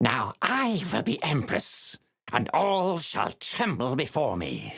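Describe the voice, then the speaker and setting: This man uses a put-on character voice, pitched fairly high. He speaks at a fairly slow pace with very wide swings in pitch. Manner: triumphant, menacing.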